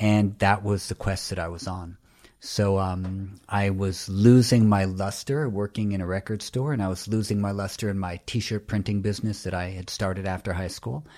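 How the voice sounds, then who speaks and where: Dark and mellow in tone, this voice with a New York accent keeps a moderate pace and fairly even intonation, with hardly any pauses, on a very clean recording with a silent background. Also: man, fairly low pitch for a man. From New York City (Greenwich Village, Soho). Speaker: yoga teacher and author. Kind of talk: interview.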